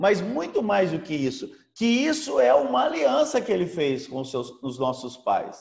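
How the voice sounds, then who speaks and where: With very wide pitch swings, a man talks at a moderate pace in a fairly high pitch. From Brazil, São Paulo state (Americana). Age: 60s. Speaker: apostle and pastor, former businessman. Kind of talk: preaching talk. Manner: halting, frequent fillers.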